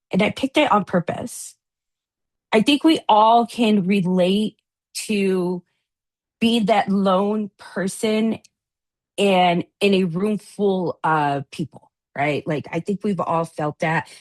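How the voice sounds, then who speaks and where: With a Spanish accent and a medium pitch, a woman speaks very slowly with long, frequent pauses and ordinary pitch variation, the sound dry and close with no echo against a quiet background. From US, daughter of Latin American immigrants. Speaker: addiction recovery advocate, briefing panelist. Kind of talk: panel presentation.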